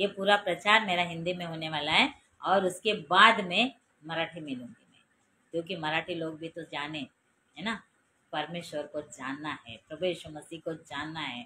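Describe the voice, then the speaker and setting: A fairly low-pitched woman's voice with ordinary pitch variation. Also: big swings in loudness. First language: Marathi (speaking Hindi). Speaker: preacher. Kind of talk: sermon.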